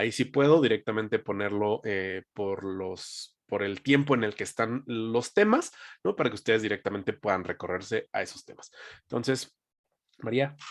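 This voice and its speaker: A man speaks at medium pitch with ordinary pitch variation. It is a plain, everyday voice on a very clean recording with a silent background. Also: moderate pace. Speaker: sales team trainer. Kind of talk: training session. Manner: conversational.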